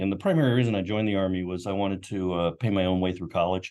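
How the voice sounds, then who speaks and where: A man with an American accent speaks very fast in a very deep, low voice, his intonation flat and monotone. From US South, Knoxville, Tennessee. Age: 60s. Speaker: marketing executive, army veteran. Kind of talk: interview. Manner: casual, hesitant with fillers.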